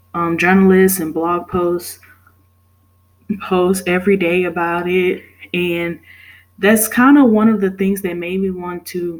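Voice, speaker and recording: A woman's medium-pitched voice at a fairly slow pace, broken by long, frequent pauses. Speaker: student. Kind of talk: class presentation.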